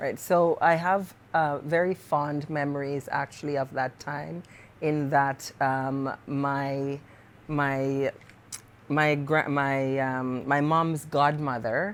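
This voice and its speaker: In a Jamaican Canadian accent, a woman speaks at a very slow pace. Her pitch is very deep and low, with fairly even intonation. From Jamaica, Parish of St Mary; moved to Canada at 15. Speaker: poet and author. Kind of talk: interview conversation.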